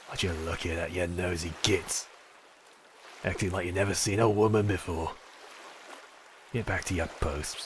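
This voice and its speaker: A man uses a gruff, put-on character voice with a very deep, low pitch. He leaves long, frequent pauses, and background noise is clearly heard. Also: moderate pace. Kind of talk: dominant ASMR roleplay. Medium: solo performance. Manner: gruff, taunting, domineering.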